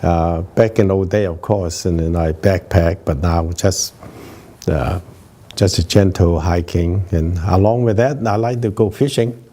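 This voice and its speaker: A man's very deep, low voice over noticeable background noise. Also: ordinary pitch variation, fairly slow pace. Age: 80s+. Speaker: retired anesthesiologist and veteran runner. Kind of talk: interview. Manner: hesitant, many fillers.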